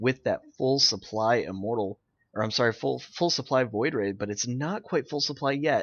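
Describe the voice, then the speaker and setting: A man's unremarkable speaking voice at a medium pitch, with lively intonation and a moderate pace, over a quiet background. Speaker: game caster. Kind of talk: live game commentary.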